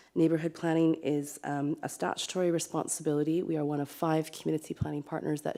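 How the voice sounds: A woman with a dark, mellow tone and vocal fry talks at a fairly quick pace, her low pitch showing little movement.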